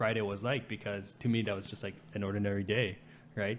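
A man with a Canadian accent and a normal speaking voice, fairly low in pitch, at a fairly quick pace with fairly even intonation. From Canada, Vancouver area. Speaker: podcast host. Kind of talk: casual chat.

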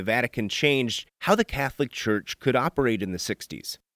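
An ordinary speaking voice from a man with an American accent, lively intonation and moderate pace, on a very clean recording with a silent background and a dry, close sound with no echo. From US Midwest. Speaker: news reporter and podcast host. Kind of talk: scripted narration.

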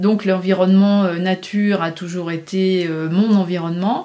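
A woman's very slow, dark, mellow voice at a medium pitch. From rural France. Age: 50s. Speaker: painter and graphic designer. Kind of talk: casual interview.

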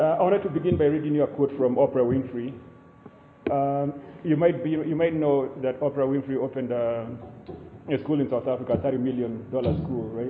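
With a fairly high pitch, this man speaks at a fairly quick pace as noticeable background noise runs behind him. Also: ordinary pitch variation. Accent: Kenyan. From Kenya (Limuru). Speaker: writer and academic. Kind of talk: keynote lecture. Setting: live event with audience, low-quality recording.

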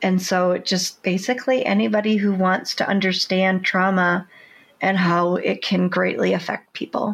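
Recorded very cleanly against a silent background, a woman with an unremarkable speaking voice talks at a moderate pace, her loudness very even and her intonation fairly even. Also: medium pitch for a woman. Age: 50s. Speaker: first-time memoir author. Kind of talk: interview.

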